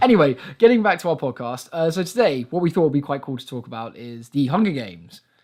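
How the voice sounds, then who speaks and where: A man races along at a very fast pace in a fairly high voice. Both his pitch and his loudness swing very widely. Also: hardly any pauses. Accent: English. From England. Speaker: podcast host. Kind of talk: casual chat.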